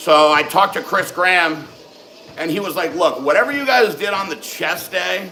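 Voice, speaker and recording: A man talks loudly in an animated tone at a moderate pace, with noticeable background noise behind him. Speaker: fitness livestream host. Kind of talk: live stream Q and A chat.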